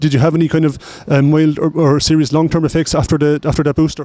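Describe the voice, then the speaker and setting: Flat and monotone, a man with a dark, mellow tone and fairly high pitch talks very fast. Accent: Irish. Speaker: street interviewer. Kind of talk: vox pop interview. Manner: halting.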